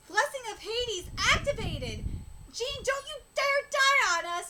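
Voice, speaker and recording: A woman's put-on character voice, extremely high in pitch, at a moderate pace. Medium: solo performance.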